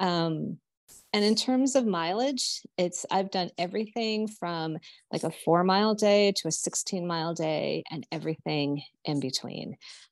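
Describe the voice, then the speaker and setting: Against a quiet background, a woman with an unremarkable speaking voice talks at a fairly slow pace, her medium pitch carried by lively intonation. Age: 50s. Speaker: businesswoman and coach on a pilgrimage. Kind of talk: casual interview.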